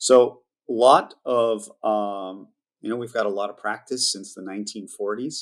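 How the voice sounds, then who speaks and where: Speaking at a fairly slow pace and medium pitch, a man keeps his intonation fairly even while his loudness swings widely. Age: 60s. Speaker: wine company CEO. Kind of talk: interview. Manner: halting.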